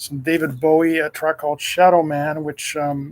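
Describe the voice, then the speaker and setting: A man speaks in a somewhat breathy voice. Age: 60s. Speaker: radio host. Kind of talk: casual show preview ramble. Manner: halting, many fillers.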